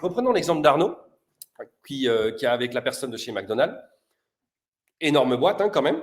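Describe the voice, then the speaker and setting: A man speaks in an animated tone at a fairly high pitch. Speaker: sales prospecting coach. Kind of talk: live-streamed cold-call coaching show. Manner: fast.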